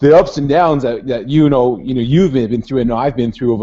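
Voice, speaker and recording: Fairly quick speech from a man, dark and mellow in tone. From western Canada. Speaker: online business vlogger. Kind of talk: casual video call chat. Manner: fast.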